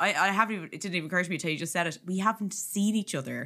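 A woman with an Irish accent speaks very fast at a medium pitch, her tone bright and sharp and her pitch varying in an ordinary way. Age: 30s. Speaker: comedian and podcast host. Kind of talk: casual chat.

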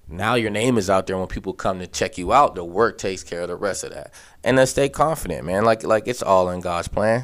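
With an American accent and an unremarkable speaking voice, a man talks at a fairly quick pace and fairly low pitch with hardly any pauses, on a very clean recording with a silent background. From western Pennsylvania (Aliquippa). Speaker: college football coach, former quarterback. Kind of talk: casual interview.

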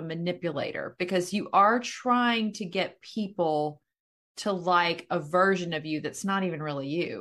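On a very clean recording with a silent background, a woman with a fairly low pitch and a normal speaking voice talks at a fairly slow pace with lively intonation. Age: 50s. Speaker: podcast host and real estate agent. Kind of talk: casual interview chat.

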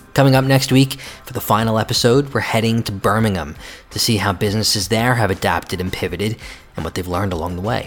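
A man talks very fast in an American accent. His pitch is fairly low, with ordinary variation. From United States. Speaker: podcast host, magazine editor. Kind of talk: scripted narration.

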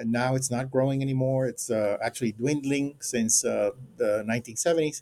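Delivered with a Spanish accent, the speech moves at a fairly slow pace with fairly even intonation. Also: man. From Puerto Rico. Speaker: anthropology professor. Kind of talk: interview. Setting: remote call. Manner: halting.

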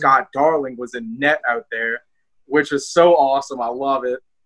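Speaking with a strong New Orleans accent, a man talks at a fairly quick pace in a fairly high pitch with fairly even intonation. His tone is bright and sharp, and the sound is dry and close with no echo. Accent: Southern New Orleans accent, fairly strong. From New Orleans, Louisiana. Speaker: hockey fan and podcaster. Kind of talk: casual chat.

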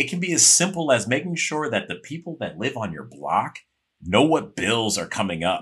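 In an American accent, a man speaks with a medium pitch and vocal fry. His pitch swings very widely. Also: moderate pace. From Chicago. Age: 40s. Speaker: actor. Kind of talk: podcast interview.

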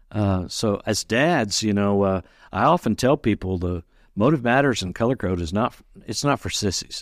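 A man with an ordinary speaking voice talks at a moderate pace, his pitch fairly low and his intonation lively. The sound is dry and close with no echo, recorded very cleanly over a silent background. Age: 60s. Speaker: personality consultant. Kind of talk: interview.

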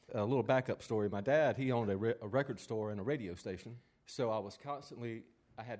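A man's voice at medium pitch, fairly quick in pace, with ordinary pitch variation. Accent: Southern US. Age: 50s. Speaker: drummer. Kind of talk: interview.

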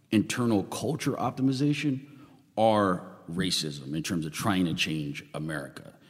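A man is speaking. His pace is moderate. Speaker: podcast/radio host interviewer. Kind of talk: interview.

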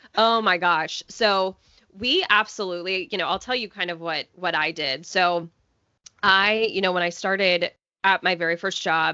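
A woman with an American accent, a normal speaking voice, medium pitch, fairly even intonation and a moderate pace. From US South. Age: 30s. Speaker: personal finance blogger. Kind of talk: interview.

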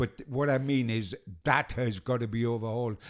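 This is a man with a medium pitch. He talks at a fairly quick pace. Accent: Geordie. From Newcastle, northeast England. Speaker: football journalist. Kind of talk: casual interview chat. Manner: animated.

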